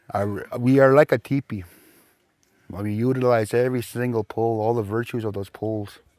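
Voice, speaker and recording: In a dry, close recording with no echo, a man at medium pitch speaks at a moderate pace with fairly even intonation and a dark, mellow tone. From Saskatchewan First Nations reserve, Canada. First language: Plains Cree. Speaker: Cree language and culture teacher. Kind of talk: interview.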